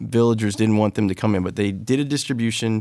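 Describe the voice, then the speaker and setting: A man's fairly low-pitched voice with a dark, mellow tone and an American accent, on a very clean recording with a silent background. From US Midwest (Iowa), teen years in Moscow, Russia. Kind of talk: interview. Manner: animated.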